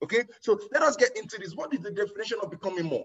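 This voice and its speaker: A man speaks loudly in an animated tone. His intonation is lively. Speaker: network marketing trainer. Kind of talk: motivational training talk.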